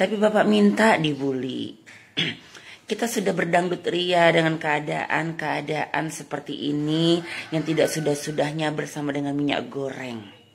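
Very deep, low pitch from a woman, a fairly slow pace, ordinary pitch variation. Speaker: comedian doing satirical monologue. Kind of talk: comedic satirical monologue addressed to the president.

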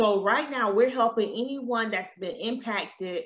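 In an American accent, a bright, sharp voice speaks with ordinary pitch variation against a quiet background. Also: woman. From US South. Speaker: loan consultant. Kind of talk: webinar presentation. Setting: live stream. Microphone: webcam.

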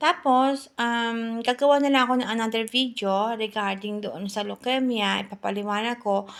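A fairly high-pitched woman at a moderate pace with hardly any pauses and fairly even intonation, on a very clean recording with a silent background. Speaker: health vlogger. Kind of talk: informal talk to camera. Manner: halting.

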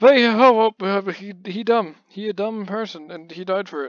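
A man at a fairly slow pace, dry sound with no echo, quiet background. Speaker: gaming channel host. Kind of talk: casual gameplay commentary. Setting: mic close, breath audible. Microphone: studio mic.

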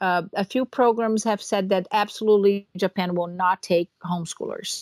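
A speaker with a Portuguese accent talks at a moderate pace. The sound is dry and close, with no echo. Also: woman. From Brazil. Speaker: dairy farmer and homeschooling mother. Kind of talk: interview conversation.

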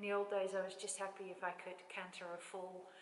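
A woman at a fairly slow pace, with audible room echo around her voice. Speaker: horse owner vlogger. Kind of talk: casual vlog chat. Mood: warm, proud, reflective. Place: hall. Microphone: camera far.

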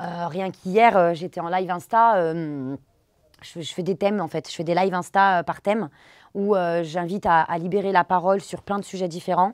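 A woman's fairly low-pitched voice at a moderate pace, with fairly even intonation and a dry sound with no echo, over a quiet background. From France, of Pakistani descent. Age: 30s. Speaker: Bollywood dance teacher and social media creator; Bollywood dance teacher, social media creator. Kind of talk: interview testimony. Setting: studio. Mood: earnest, personal story. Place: studio.

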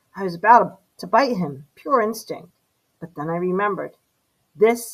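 A natural reading voice with ordinary pitch variation over a quiet background

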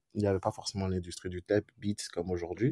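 The speaker is a man. His voice comes across dry and close, with no echo. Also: quiet background. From Benin. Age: 20s. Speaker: music producer. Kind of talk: casual interview. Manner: hesitant, many fillers.

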